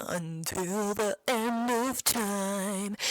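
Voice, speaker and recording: Putting on a character voice, a man speaks high in pitch with fairly even intonation, on a very clean recording with a silent background. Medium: virtual streamer. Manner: haughty, affected.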